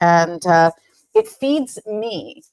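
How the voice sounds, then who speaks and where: This woman has a British accent and a fairly low pitch. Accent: British, strengthened recently. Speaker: head of people, business executive. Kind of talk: interview conversation.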